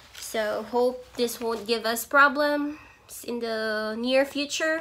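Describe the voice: A woman speaks slowly at a fairly high pitch with a fairly bright tone and ordinary pitch variation, with audible room echo.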